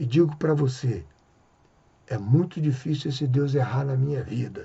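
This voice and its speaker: This man's fairly high voice is somewhat breathy and shows ordinary pitch variation. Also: moderate pace. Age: 60s. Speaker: evangelical preacher. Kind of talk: religious reflection monologue.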